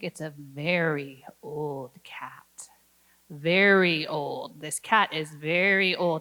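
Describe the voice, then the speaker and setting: A woman uses a put-on character voice, very deep and low in pitch. She speaks very slowly, with big swings in loudness. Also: ordinary pitch variation. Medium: stage play. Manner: calm, repetitive.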